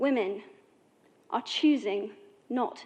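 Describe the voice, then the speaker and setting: A woman with an English accent speaks fairly slowly, at a fairly high pitch, with fairly even intonation. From England. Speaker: actress and activist. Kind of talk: formal speech to an assembly.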